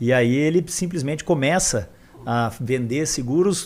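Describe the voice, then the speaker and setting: Speaking with an interior São Paulo accent, a man uses a fairly high pitch. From interior of São Paulo state, Brazil (São José do Rio Preto). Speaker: physician and health-tech founder. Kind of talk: podcast interview. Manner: halting, with many fillers.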